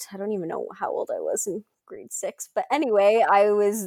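A woman's fairly high voice at a moderate pace, a normal speaking voice, in a very clean recording with a silent background and a dry, close sound with no echo. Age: 20s. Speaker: alopecia advocate and social media creator. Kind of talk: interview, personal story.

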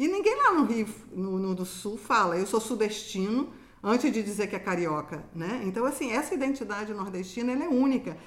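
Noticeable background noise sits under speech that moves at a fairly quick pace with lively intonation. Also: woman, fairly high pitch for a woman. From Rio de Janeiro, Brazil. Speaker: university professor. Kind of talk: casual interview.

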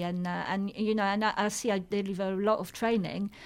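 A woman with a French accent speaks at a medium pitch in a very clean recording with a silent background. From France. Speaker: charity chief executive. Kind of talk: radio interview. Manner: halting, with many repetitions.

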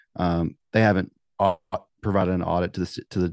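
With a Southern US accent, a man talks at a moderate pace against a quiet background, the sound dry and close with no echo. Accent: Southern US (Georgia). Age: 30s. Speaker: podcast host. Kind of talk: casual chat. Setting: video call.

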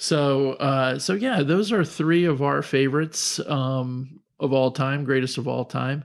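Very clean recording with a silent background of a man's unremarkable speaking voice, fairly high in pitch, fairly slow, with ordinary pitch variation. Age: 50s. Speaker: podcast co-host, father of the other host. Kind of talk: casual chat.

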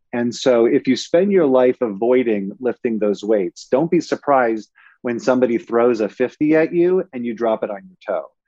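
A man with a Californian accent talks at a moderate pace and medium pitch, with lively intonation, big swings in loudness and hardly any pauses. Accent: Californian American. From Los Angeles, San Fernando Valley. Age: 40s. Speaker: media company executive. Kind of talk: interview. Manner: halting.

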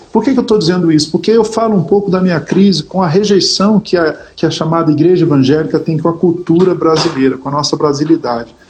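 Noticeable background noise sits behind a man speaking at a very fast pace. His pitch is high, with ordinary variation. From Brazil, Rio de Janeiro. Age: 50s. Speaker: gospel musician and pastor. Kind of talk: casual interview chat.

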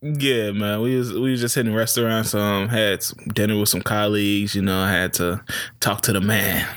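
At a moderate pace, a man with a fairly low pitch speaks with very even loudness. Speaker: podcast host. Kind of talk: casual banter podcast. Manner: joking, animated.

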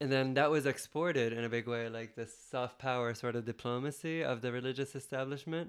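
Using a normal speaking voice at medium pitch, a man talks at a fairly quick pace with hardly any pauses. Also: fairly even intonation. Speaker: podcast guest, filmmaker. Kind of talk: casual chat.

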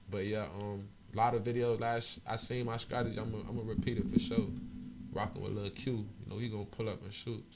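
A man with an American accent talks at a fairly quick pace in a medium pitch. His intonation is monotone and flat, and audible room echo surrounds him. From Miami-Dade area, South Florida. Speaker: rapper. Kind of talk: casual interview chat.

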